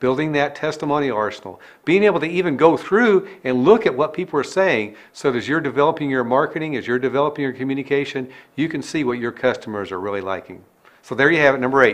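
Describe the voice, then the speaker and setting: Delivered at a very fast pace, the speech has lively intonation. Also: man, fairly high pitch for a man. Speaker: business coach. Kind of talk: tutorial.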